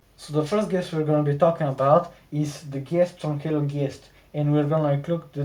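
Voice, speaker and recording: Speaking at a moderate pace with a non-native accent, a man's somewhat breathy voice sits at a fairly high pitch for a man, with a dark, mellow tone and monotone, flat intonation. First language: not English. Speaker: gaming video creator. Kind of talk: video essay narration.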